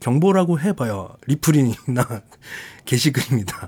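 Very wide pitch swings and a somewhat breathy voice at a fairly slow pace, on a very clean recording with a silent background. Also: man. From Jeju Island, South Korea. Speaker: podcast host. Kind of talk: casual solo podcast monologue. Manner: chatty, laughs often, rambling.

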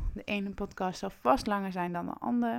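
The recording is very clean, with a silent background. It carries an unremarkable speaking voice with ordinary pitch variation. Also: woman. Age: 20s. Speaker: personal development coach. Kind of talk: podcast monologue.

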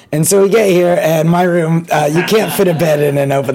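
A male speaker with ordinary pitch variation over noticeable background noise. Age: 20s. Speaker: podcast host and comedian. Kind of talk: casual chat. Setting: in an apartment, giving a tour. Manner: halting.

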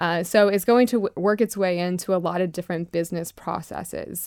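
In an American accent, a woman with a plain, everyday voice and fairly low pitch speaks at a fairly quick pace with fairly even intonation, on a very clean recording with a silent background. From US South, Florida (Lakeland). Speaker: trade association founder. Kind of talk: radio interview.

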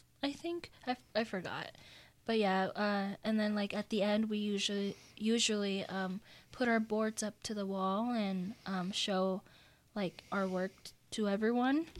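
A woman's fairly slow, fairly even speech on a very clean recording with a silent background. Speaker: college student guest. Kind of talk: casual chat. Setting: radio studio.

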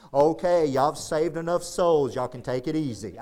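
A booming put-on character voice moves at a fairly quick pace with ordinary pitch variation over light background noise. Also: man, fairly high pitch for a man.

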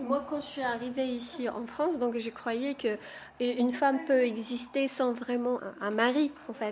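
A woman talks at a high pitch and a fairly slow pace, with fairly even intonation. Noticeable background noise is present. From Morocco. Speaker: community theatre participant. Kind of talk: casual chat.

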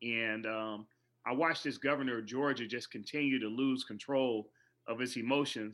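A man speaks at a moderate pace in a normal speaking voice, with fairly even intonation. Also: medium pitch for a man. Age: 40s. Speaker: educator and keynote speaker. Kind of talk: interview.

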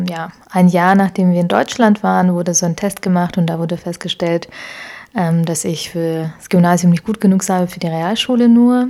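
Her voice has a dark, mellow tone. This woman's pitch sits in the medium range. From Ukraine (Kyiv), then Augsburg, Germany from age 12. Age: 20s. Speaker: founder of a social mobility network. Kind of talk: interview. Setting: living room. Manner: frequent hesitations (ähm, äh).

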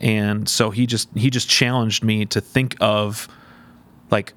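A plain, everyday voice from a man, fairly low in pitch, with fairly even intonation. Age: 30s. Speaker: youth pastor. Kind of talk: casual chat.

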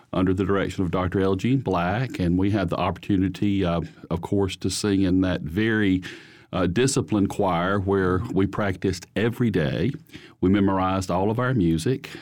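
With an Alabama accent, a man speaks at a moderate pace in a very deep, low voice, with ordinary pitch variation and very even loudness over a quiet background. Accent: US Southern (Alabama). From Holly Pond, Alabama. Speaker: church choir singer. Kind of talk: interview testimony.

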